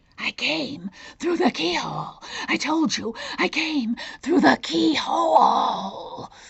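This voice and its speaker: At a fairly slow pace, a woman puts on a character voice pitched fairly high. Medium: read story. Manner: boastful, insistent.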